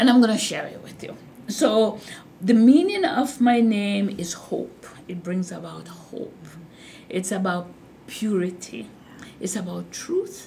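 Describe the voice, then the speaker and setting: With vocal fry and a dark, mellow tone, a woman speaks at medium pitch with lively intonation, big swings in loudness and long, frequent pauses, all in audible room echo. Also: fairly slow pace. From Jamaica. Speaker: hospital nursing executive. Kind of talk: interview. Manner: slow and deliberate.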